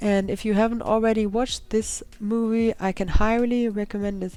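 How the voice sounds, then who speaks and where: A woman's dark, mellow tone in a German accent at a moderate pace. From Germany. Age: 20s. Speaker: gaming YouTuber. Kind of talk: voiceover narration.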